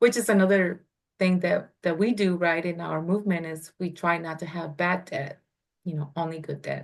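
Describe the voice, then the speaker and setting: A woman with a non-native accent speaks in a fairly low pitch with fairly even intonation against a quiet background. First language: not English. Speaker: real estate investor. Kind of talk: interview.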